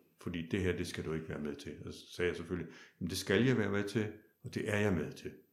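Room echo is audible as a man speaks with a very deep, low pitch. His pitch moves in an ordinary way. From Denmark, Kolding (southern Jutland). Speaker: opera singer. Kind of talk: interview conversation.

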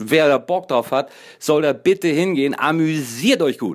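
On a very clean recording with a silent background, a man talks at a fairly high pitch with ordinary pitch variation. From northern Germany, Kiel. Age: 40s. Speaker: podcaster. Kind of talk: casual monologue. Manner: halting, filler-heavy.

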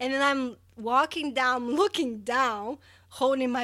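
On a very clean recording with a silent background, a woman speaks at a fairly slow pace in a high pitch with ordinary pitch variation. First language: not English. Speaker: podcast co-host. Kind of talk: casual chat.

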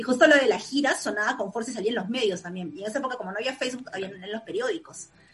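Lively in intonation, a woman with a fairly high pitch races at a very fast pace with hardly any pauses and big swings in loudness. Noticeable background noise sits underneath. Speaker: music fan. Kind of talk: casual chat.

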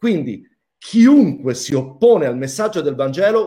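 A man's tone is dark and mellow. His pitch swings very widely. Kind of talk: religious Q&A discussion, casual teaching. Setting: video call.

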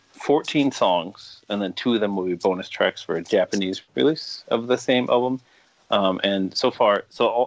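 An unremarkable speaking voice with an American accent, ordinary pitch variation and a moderate pace, recorded dry and close with no echo. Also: man. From Michigan (Fenton, near Flint). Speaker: musician and record label owner. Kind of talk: casual chat.

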